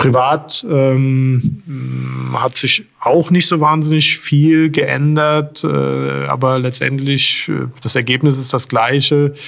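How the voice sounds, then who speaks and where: Very slow speech from a man, noticeable background noise behind it. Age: 40s. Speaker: police chief. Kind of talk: interview. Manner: hesitant, many filler sounds.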